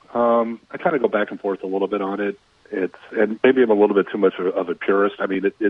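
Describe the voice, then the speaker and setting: A man with an American accent and a plain, everyday voice talks at a fairly quick pace, his pitch fairly low and his intonation fairly even. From Minnesota. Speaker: sports reporter. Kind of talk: radio sports chat.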